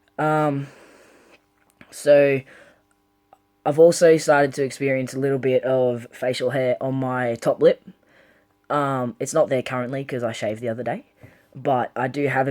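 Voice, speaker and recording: Recorded with a dry, close sound and no echo, a man talks at a moderate pace in a fairly high pitch with monotone, flat intonation. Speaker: vlogger. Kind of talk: casual vlog update. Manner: hesitant, many ums.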